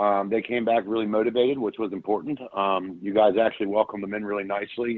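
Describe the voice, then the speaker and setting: His pace is moderate. This man talks in a fairly low voice with monotone, flat intonation. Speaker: franchise owner. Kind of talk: business meeting update. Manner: loud; intense, to the point.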